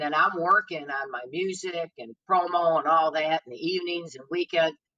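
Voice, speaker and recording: A woman with an American accent speaks at a moderate pace in a plain, everyday voice, fairly low in pitch with ordinary pitch variation, the sound dry and close with no echo. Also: big swings in loudness. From Detroit, US Midwest. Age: 60s. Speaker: blues singer. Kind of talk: podcast interview.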